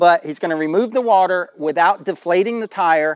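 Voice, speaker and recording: A man's speech comes at a moderate pace, the sound dry with no echo and the background quiet. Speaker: channel host. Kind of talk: casual interview and explanation. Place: open country. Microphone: lapel.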